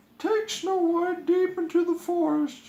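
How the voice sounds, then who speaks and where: Someone puts on a squeaky character voice at an extremely high pitch. The pace is fairly slow. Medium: read story. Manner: menacing.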